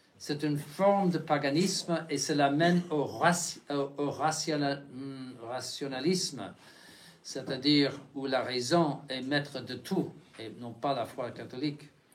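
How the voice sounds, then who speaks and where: With audible room echo, a man speaks at a very slow pace in a fairly high pitch. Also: ordinary pitch variation, big swings in loudness. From United States. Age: 70s. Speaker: bishop. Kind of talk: lecture. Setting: chapel. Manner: halting, many restarts and fillers.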